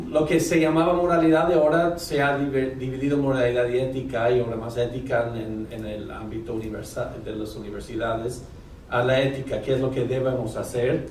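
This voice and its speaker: A man with a non-native accent talks at a fairly quick pace, medium pitch and ordinary pitch variation. Audible room echo and noticeable background noise fill the recording. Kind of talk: lecture. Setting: university auditorium with audience. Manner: halting, many fillers.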